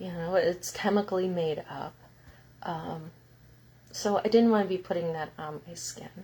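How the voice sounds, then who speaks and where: Pausing long and often, a woman with a dark, mellow, somewhat breathy tone speaks at a moderate pace and medium pitch, her intonation fairly even but her loudness swinging widely. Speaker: healing center owner and spiritual teacher. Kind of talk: live stream talk.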